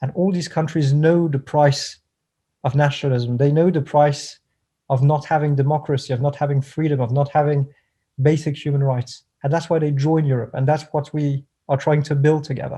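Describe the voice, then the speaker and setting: Against a quiet background, a man with a fairly high pitch and a dark, mellow tone talks fairly quickly in a flat monotone, sounding somewhat breathy. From France. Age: 20s. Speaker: political professional. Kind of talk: interview.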